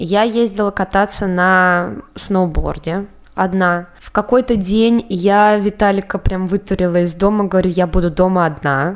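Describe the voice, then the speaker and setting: This woman has a plain, everyday voice. Her pitch is medium and her pace fairly slow. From Russia, Samara. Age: 20s. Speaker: podcast co-host. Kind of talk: casual chat.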